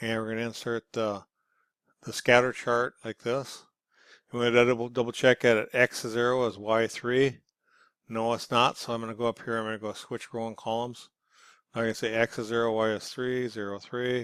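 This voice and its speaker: A man talks at medium pitch in a monotone, flat delivery. The recording is very clean, with a silent background. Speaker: instructor. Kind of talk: tutorial. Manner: fast.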